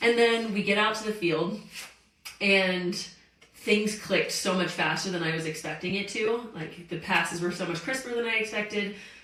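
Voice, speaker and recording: With an American accent and an animated tone, a woman speaks at a medium pitch and moderate pace with ordinary pitch variation, amid noticeable background noise and audible room echo. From US South, Greenville, South Carolina. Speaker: professional soccer player. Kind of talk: interview.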